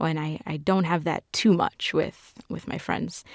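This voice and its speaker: A woman with an American accent speaks at a fairly slow pace with vocal fry, on a very clean recording with a silent background. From New York City (Queens). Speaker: film fan and guest TV host. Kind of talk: casual interview.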